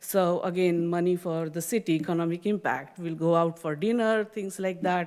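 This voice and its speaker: Speaking with normal pitch movement, a woman keeps to a moderate tempo. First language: not English, an Indian regional language. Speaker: community theater volunteer, public commenter. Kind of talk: public comment at council meeting. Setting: city council chamber.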